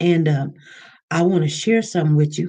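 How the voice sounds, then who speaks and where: Her voice is fairly low for a woman, with a dark, mellow tone. She speaks at a moderate pace and sounds somewhat breathy. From Kansas City, US Midwest. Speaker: livestream host. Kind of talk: casual livestream chat. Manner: casual, chatty.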